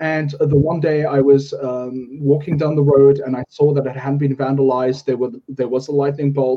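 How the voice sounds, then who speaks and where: A man's fairly high voice in a flat monotone. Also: moderate pace. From South Africa. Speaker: podcast host. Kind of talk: interview.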